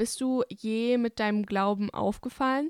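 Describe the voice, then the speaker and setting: In a plain, everyday voice, a woman with fairly high pitch and fairly even intonation speaks at a moderate pace, the sound dry and close with no echo and the recording very clean against a silent background. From Bavaria, Germany (Hungarian family). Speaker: podcast host. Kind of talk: casual interview.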